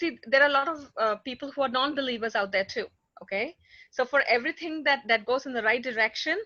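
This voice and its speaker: Raised and projected, a woman's high-pitched voice with a bright, sharp tone races along at a very fast pace with ordinary pitch variation. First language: not English. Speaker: conference speaker. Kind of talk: conference Q&A discussion.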